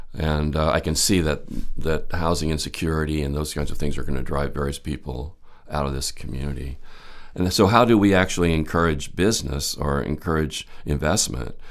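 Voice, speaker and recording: Audible room echo accompanies a fairly quick pace with ordinary pitch variation. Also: man, very deep, low pitch for a man. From California, Santa Clara. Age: 70s. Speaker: former mayor, city council candidate. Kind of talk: interview answers. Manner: halting.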